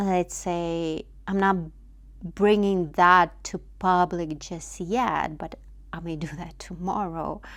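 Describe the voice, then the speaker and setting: A woman with a non-native accent speaks at a very slow pace and a fairly low pitch, with fairly even intonation and big swings in loudness. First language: not English. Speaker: vlogger. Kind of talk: personal reflection monologue. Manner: halting, many fillers.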